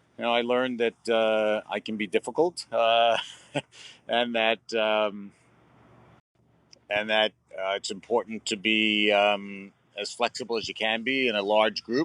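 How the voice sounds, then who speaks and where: A man's fairly low voice in a monotone, flat intonation at a fairly slow pace with long, frequent pauses, in a dry, close sound with no echo. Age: 60s. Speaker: long-distance cyclist. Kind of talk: casual interview chat. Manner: halting, many fillers.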